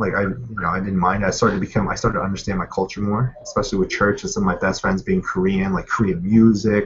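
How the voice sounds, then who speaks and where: A man speaks very fast with an American accent, hardly pausing at all. His fairly low voice stays monotone and flat. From Pennsylvania, US. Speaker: guest interviewee. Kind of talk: casual chat. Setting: video call. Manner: casual, many fillers.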